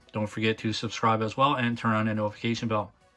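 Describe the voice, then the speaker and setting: A man is speaking. Music plays in the background. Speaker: toy reviewer. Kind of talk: unboxing review. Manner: casual, hesitant with fillers.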